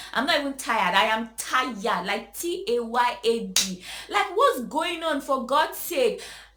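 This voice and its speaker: A woman with a high pitch speaks in a raised, projected voice, her pitch swinging very widely. She talks at a fairly slow pace with hardly any pauses, over noticeable background noise. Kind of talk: emotional rant to camera. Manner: hesitant, stammering; frustrated, exasperated.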